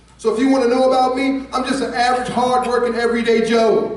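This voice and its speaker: Over noticeable background noise, a man with an American accent speaks at an extremely high pitch. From United States. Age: 60s. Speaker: political candidate. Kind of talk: campaign speech. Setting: candidate forum with audience. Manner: relaxed; animated.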